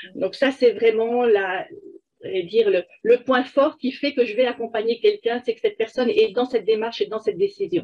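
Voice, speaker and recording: A woman's high-pitched voice with lively intonation at a moderate pace. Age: 60s. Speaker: life coach. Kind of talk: interview. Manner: hesitant, many fillers.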